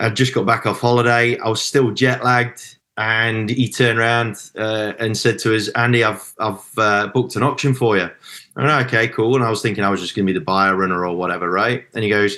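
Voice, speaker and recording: A man with a Midlands accent and a bright, sharp tone talks at a fairly quick pace and medium pitch, with fairly even intonation, hardly any pauses and a quiet background. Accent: Midlands English, unmistakable. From English Midlands. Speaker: auctioneer. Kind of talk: podcast interview. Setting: podcast.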